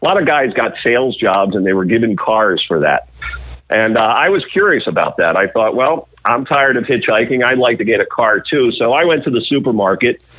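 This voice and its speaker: A man talks fairly quickly in a normal speaking voice at a medium pitch. His intonation is lively, and his loudness stays very even. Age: 50s. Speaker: media executive. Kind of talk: interview.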